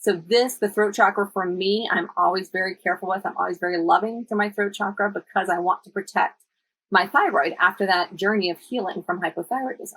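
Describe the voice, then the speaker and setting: A woman with a normal speaking voice talks at a fairly quick pace, medium in pitch, with fairly even intonation and a dry, close sound with no echo. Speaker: wellness coach teaching a crystals and oils class. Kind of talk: live-streamed workshop. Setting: live stream.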